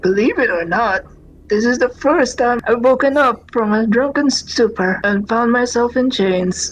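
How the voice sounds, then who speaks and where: A put-on character voice, female-sounding and high-pitched for a woman, at a moderate pace. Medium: game stream.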